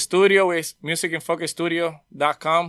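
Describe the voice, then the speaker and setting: On a very clean recording with a silent background, a man with a fairly high pitch and a bright, sharp tone speaks in a monotone, flat intonation with a Spanish accent. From Puerto Rico. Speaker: audio engineer. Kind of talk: casual interview.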